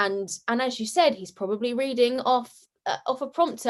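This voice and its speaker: A woman with a British accent speaks loudly at a high pitch and moderate pace against a quiet background. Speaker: comedy sketch creator and actress. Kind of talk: casual interview chat. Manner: bubbly.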